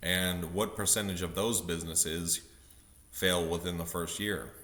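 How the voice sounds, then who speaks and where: A man talks with a very deep, low pitch and a bright, sharp tone. His intonation stays monotone and flat, and audible room echo surrounds him. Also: moderate pace. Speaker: vlogger. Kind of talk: casual monologue vlog. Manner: many fillers, halting.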